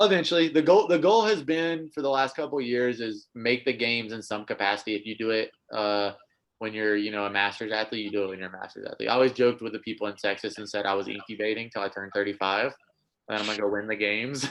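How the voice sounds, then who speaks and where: Against a quiet background, a man talks very fast with an American accent. His pitch is medium with ordinary variation. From US South, North Carolina. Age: 20s. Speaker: air force member and crossfit athlete. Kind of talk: casual chat. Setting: podcast interview.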